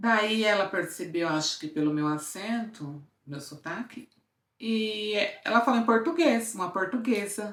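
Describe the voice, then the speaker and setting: With very wide pitch swings, a woman speaks fairly slowly at a fairly high pitch. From interior of Brazil. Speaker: lifestyle vlogger. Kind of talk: casual storytelling vlog. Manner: animated.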